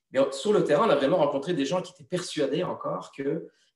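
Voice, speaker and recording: A man talks at a very fast pace. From Belgium. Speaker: TV journalist and presenter. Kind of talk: interview answer.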